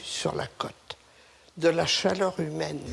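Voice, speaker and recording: Noticeable background noise sits under a voice whose pitch varies in an ordinary way. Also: woman. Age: 70s. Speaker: local resident. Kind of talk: interview.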